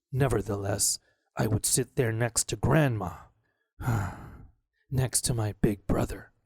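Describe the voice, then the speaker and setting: A man puts on a gruff, growling character voice at a medium pitch. He goes at a fairly slow pace with long, frequent pauses. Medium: read story.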